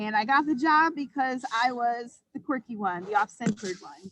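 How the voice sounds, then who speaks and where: A woman speaks with a high pitch and lively intonation. The sound is dry and close, with no echo. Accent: American. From US Midwest, Illinois-Wisconsin border. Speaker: brewery finance consultant. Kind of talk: conference presentation. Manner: casual with many fillers.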